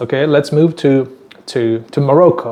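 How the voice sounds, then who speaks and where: A man with a Tajik accent, fairly high in pitch, at a fairly slow pace. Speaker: YouTuber teaching place names. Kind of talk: casual talk to camera. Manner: halting, many fillers and repeats.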